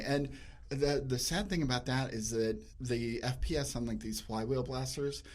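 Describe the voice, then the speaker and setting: A man with an unremarkable speaking voice, medium in pitch, with ordinary pitch variation. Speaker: foam blaster modder. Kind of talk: interview answer.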